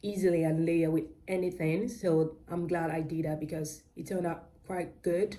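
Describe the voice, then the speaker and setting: A woman with a British-Nigerian accent speaks at a moderate pace, fairly low in pitch, with fairly even intonation. Her tone is dark and mellow, and there is audible room echo. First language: Yoruba. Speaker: crochet vlogger. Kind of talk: casual vlog chat. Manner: halting, many fillers and self-corrections.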